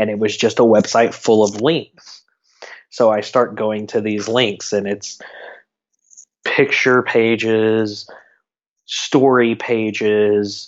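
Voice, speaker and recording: A man's fairly low voice, monotone and flat, at a very slow pace with long, frequent pauses. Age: 30s. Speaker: community event organizer. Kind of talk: casual interview chat. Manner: repeats words often, halting.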